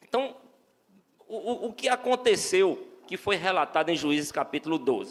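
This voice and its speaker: The speaker has a northeastern Brazilian accent and talks at a moderate pace. The intonation is lively. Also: man, high pitch for a man. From Brazil, Northeast. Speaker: lay preacher. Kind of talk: sermon. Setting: church. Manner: halting, many repeated words.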